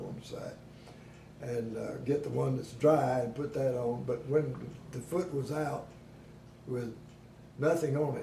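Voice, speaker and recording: A man's fairly high voice at a fairly slow pace, with long, frequent pauses, fairly even intonation and noticeable background noise. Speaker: war veteran. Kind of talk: interview answer. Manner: hesitant.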